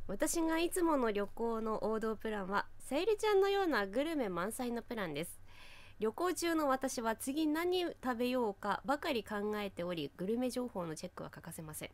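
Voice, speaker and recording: Her pitch fairly high and swinging very widely, a woman speaks at a moderate pace in a dry sound with no echo. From Fukushima, Japan. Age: 30s. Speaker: local TV announcer, podcast co-host. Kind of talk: casual chat. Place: studio.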